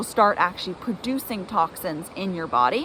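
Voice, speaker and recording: Lively intonation from a woman over noticeable background noise. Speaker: gut health nutrition coach. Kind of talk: tutorial. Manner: casual, filler-heavy.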